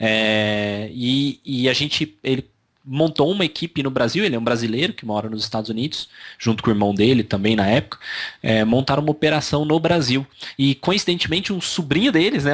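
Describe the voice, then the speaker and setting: At a fairly quick pace, a man with a slight Minas Gerais accent and a fairly high voice speaks with lively intonation. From Brazil, São Paulo (childhood), born Minas Gerais. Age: 30s. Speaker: digital marketing agency owner. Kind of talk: interview. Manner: hesitant, many fillers.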